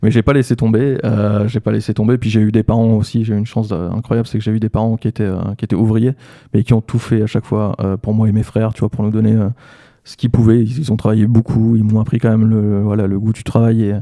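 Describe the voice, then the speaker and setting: A man talks very fast in a fairly low, dark, mellow voice. His intonation is monotone and flat, and the sound is dry and close with no echo. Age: 30s. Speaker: entrepreneur and AI trainer. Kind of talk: casual interview. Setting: studio.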